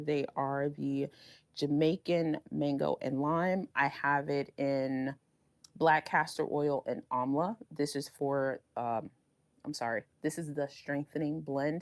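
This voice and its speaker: Very deep and low-pitched, a woman's voice moves at a fairly slow pace with fairly even intonation, recorded with a dry, close sound and no echo. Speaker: beauty vlogger. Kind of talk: product review vlog. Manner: casual, chatty.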